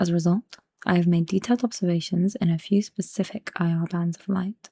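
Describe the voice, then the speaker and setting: A soft-spoken woman talks at a fairly quick pace, somewhat breathy. Her tone is dark and mellow, and the sound is dry and close with no echo. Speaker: ASMR creator. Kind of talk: book reading to help sleep.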